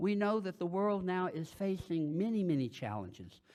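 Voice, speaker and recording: Over a quiet background, a man speaks in a high voice at a fairly slow pace. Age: 70s. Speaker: retired minister, guest preacher. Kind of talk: sermon.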